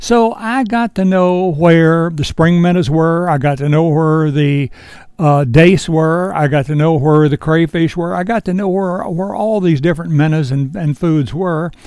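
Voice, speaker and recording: Speaking fairly slowly, a man barely pauses at all. His pitch is high, with ordinary variation. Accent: Virginia. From US South, Shenandoah Valley, Virginia. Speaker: fly shop owner and fishing instructor. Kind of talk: tutorial. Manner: casual, unhurried.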